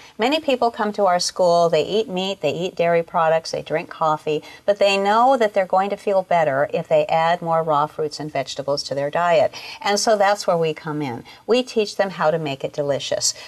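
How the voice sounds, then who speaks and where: A woman with a normal speaking voice talks at a moderate pace and medium pitch, with lively intonation. She barely pauses, and the sound is dry and close with no echo. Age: 60s. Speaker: raw food culinary school founder. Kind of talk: interview.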